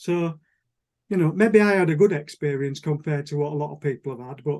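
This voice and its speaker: Ordinary pitch variation marks this man's voice, which has a dark, mellow tone. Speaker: model engineer. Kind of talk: presentation on Zoom. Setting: video call. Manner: fast.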